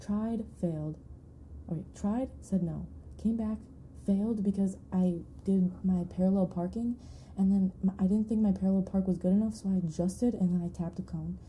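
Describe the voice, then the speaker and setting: Speaking fairly quickly with an American accent, a woman uses a medium pitch and fairly even intonation, her tone dark and mellow and somewhat breathy. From Michigan, US. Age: 20s. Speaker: ASMR streamer. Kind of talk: casual live-stream chat. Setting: live stream. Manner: rambling, distractible chat.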